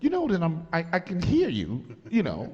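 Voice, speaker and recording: A loud, animated man with very wide pitch swings. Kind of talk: casual chat, storytelling.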